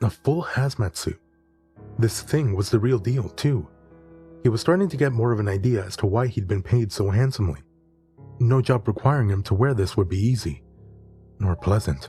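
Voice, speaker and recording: Music plays in the background as a voice moves at a moderate pace with long, frequent pauses. The pitch swings very widely. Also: man. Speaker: horror story narrator. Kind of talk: horror story narration.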